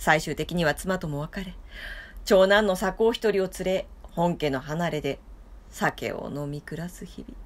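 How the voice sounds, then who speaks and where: At a fairly slow pace, a woman speaks in a fairly low voice with vocal fry. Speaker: storyteller. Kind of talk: storytelling reading. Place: home room. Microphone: phone near.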